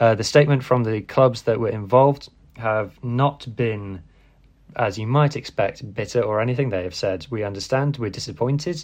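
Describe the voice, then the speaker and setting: At a moderate pace over a quiet background, a normal speaking voice moves with ordinary pitch variation. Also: man, medium pitch for a man. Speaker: podcast host. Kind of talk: casual news rundown podcast.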